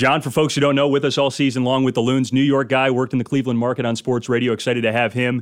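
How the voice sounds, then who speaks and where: Talking at a very fast pace with hardly any pauses, a man at medium pitch with an American accent keeps a monotone, flat intonation and very even loudness. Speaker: sports radio host. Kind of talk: sports radio talk show. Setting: studio with live audience.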